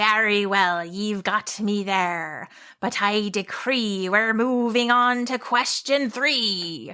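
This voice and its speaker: A woman at medium pitch puts on a gruff, growling character voice at a very slow pace. The recording is very clean, with a silent background. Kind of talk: rhyming, pompous decree. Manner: growling, gruff.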